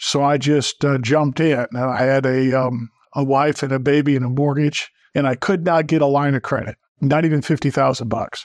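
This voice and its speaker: A plain, everyday voice from a man, fairly high in pitch, with fairly even intonation, a moderate pace, very even loudness, and a dry, close sound with no echo over a quiet background. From northern Wisconsin. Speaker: plaintiff's attorney. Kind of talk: podcast interview.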